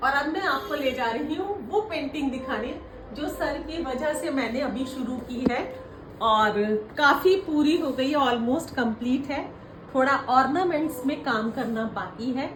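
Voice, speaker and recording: A woman's high-pitched voice with ordinary pitch variation, plus audible room echo and noticeable background noise. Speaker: retired woman learning painting. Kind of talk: casual chat.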